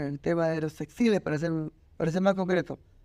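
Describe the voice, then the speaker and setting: A man's fairly high voice in a Peruvian accent, dark and mellow in tone with fairly even intonation, in a very clean recording over a silent background. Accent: Peruvian Spanish (Lima). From Peru, Lima. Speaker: designer and university lecturer. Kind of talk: interview.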